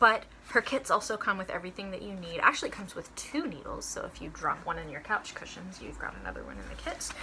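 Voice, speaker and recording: Barely pausing, a woman speaks at a very fast pace with big swings in loudness against noticeable background noise. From North Texas (Dallas-Fort Worth area). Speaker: shop co-owner and cross-stitch video host. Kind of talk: casual chat.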